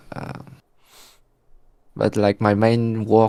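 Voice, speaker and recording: A man with a French accent, dark and mellow in tone, at a fairly slow pace. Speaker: day trader. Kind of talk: casual chat. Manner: halting.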